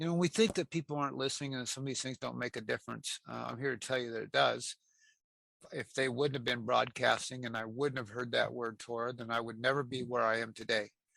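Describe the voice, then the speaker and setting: Very fast and in an American accent, a man talks at a medium pitch, the sound dry and close with no echo on a very clean recording with a silent background. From US Pacific Northwest (Aberdeen, Washington). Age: 60s. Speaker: interviewee sharing life story, former prisoner. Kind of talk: interview testimony. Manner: halting, many fillers and repetitions.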